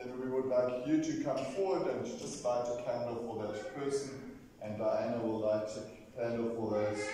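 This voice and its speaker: Over loud background noise, a man speaks at a moderate pace while the room echo is audible. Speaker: minister leading a service. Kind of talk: liturgical address to congregation. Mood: solemn, memorial. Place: church.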